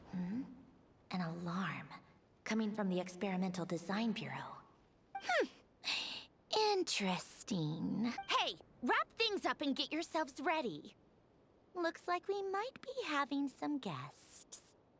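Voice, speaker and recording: In a put-on character voice, a female-sounding speaker talks fairly slowly in an amused tone, her pitch swinging very widely. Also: fairly high pitch for a woman. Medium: video game. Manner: cool, condescending, amused.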